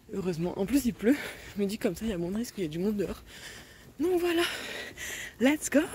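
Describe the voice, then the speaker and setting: A woman's pitch swings very widely as she speaks. Noticeable background noise is present. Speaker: vlogger. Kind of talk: casual vlog. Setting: outdoors walking home. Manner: fast; animated.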